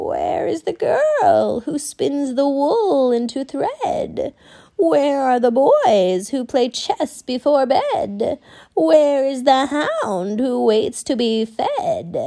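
A put-on character voice, high-pitched and spoken at a very slow pace.

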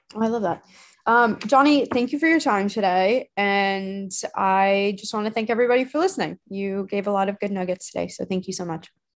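A woman with a normal speaking voice and an American accent talks at a fairly quick pace, medium in pitch with ordinary pitch variation. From Arizona. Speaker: community host. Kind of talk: casual interview.

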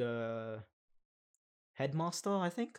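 Recorded very cleanly against a silent background, a man speaks at a very slow pace. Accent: Australian. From Western Sydney, Australia. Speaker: podcast co-host. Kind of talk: casual chat. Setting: recording in a broom closet.

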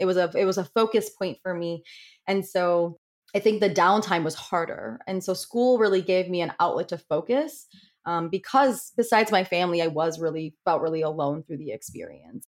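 A woman with an unremarkable speaking voice talks at a medium pitch and moderate pace, her intonation lively. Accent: American. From Connecticut. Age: 30s. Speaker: psychology professor and breast cancer survivor. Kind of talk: interview.

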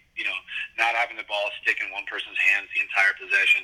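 Speech in an American accent, noticeable background noise behind it. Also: man. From Concord, California. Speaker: basketball assistant coach. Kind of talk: interview.

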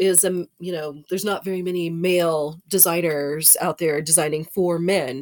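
In an American accent, a woman with an ordinary speaking voice and a medium pitch speaks at a fairly slow pace. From Texas. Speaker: fashion podcast co-host. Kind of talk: casual chat.

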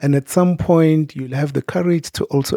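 The man's voice has a dark, mellow tone. He talks at a moderate pace, and the sound is dry and close with no echo. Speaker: podcast host. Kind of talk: interview.

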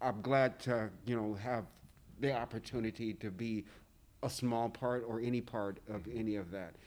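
Using a plain, everyday voice, a man speaks at a medium pitch and a moderate pace with fairly even intonation. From US South. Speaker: print shop worker. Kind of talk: casual chat.

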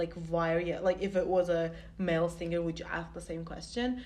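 A woman's fairly low-pitched voice at a fairly quick pace, set against noticeable background noise. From Turkey. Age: 20s. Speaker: student podcast co-host. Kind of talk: casual chat.

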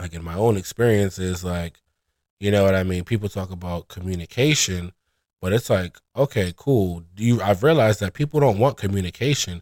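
In a Brooklyn accent, a man with a fairly low voice speaks fairly quickly with ordinary pitch variation, on a very clean recording with a silent background and a dry, close sound free of echo. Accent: New York (Brooklyn). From New York City, Brooklyn (East New York). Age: 20s. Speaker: inventory control specialist. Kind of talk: casual interview.

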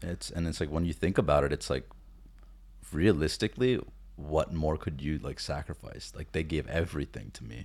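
At a moderate pace, a man with an American accent talks in a very deep, low pitch, using lively intonation and vocal fry. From US, child of Indian immigrants. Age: 20s. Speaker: podcast co-host. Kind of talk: casual chat.

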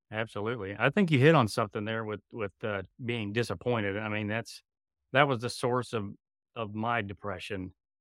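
A plain, everyday voice moves at a moderate pace with fairly even intonation. The sound is dry and close with no echo, in a very clean recording with a silent background. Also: man, fairly low pitch for a man. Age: 40s. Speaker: podcast host. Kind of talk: interview; scripted outro.

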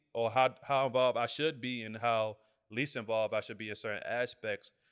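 With an American accent and an ordinary speaking voice, the speaker goes at a fairly quick pace in a dry, close sound with no echo on a very clean recording with a silent background. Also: man. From Washington DC. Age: 20s. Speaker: video production business owner. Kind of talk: casual interview conversation.

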